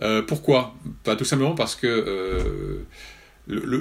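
Lively intonation from a man at a very slow pace. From northern France (Nord). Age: 60s. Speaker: journalist. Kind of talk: interview. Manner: hesitant with fillers.

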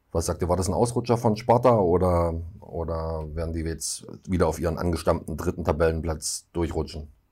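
This man has a very deep, low pitch and a dark, mellow tone that is somewhat breathy. He talks at a fairly quick pace with ordinary pitch variation, on a very clean recording with a silent background. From eastern Saxony, German-Czech border area. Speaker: football podcast host. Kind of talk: casual chat.

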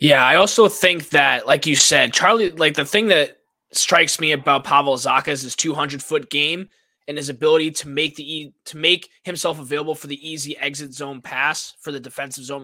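This man has a Boston accent and a bright, sharp tone. He talks at a fairly quick pace with fairly even intonation on a very clean recording with a silent background. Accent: Boston area. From Massachusetts. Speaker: sportswriter and student. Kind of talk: live-streamed sports chat. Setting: live stream.

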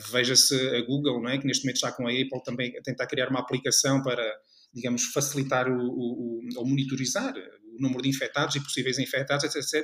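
In a European Portuguese accent, a man talks at a very fast pace with a medium pitch and monotone, flat intonation. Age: 40s. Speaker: marketing lecturer and consultant. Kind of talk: interview. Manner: halting.

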